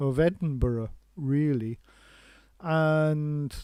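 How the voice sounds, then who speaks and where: With a Scottish accent, a man speaks at a fairly high pitch in a dark, mellow tone, his pitch varying in an ordinary way. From Scotland. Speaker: live stream host. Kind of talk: casual chat. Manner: halting.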